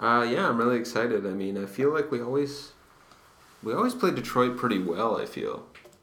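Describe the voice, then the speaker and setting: A quiet man's voice at medium pitch and a fairly quick pace, with ordinary pitch variation and noticeable background noise. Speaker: baseball podcast co-host. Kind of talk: casual chat. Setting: library study room. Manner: hushed.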